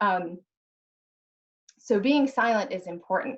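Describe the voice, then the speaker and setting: The woman's voice is somewhat breathy, sitting at a medium pitch with ordinary pitch variation. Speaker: crisis leadership panelist. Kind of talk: panel discussion. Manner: fast.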